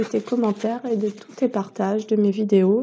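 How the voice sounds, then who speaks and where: A woman's voice, with ordinary pitch variation, is heard over noticeable background noise. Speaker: tarot reader and therapist. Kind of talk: tarot card reading. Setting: on a deck, outdoors in the sun. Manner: hesitant; quiet.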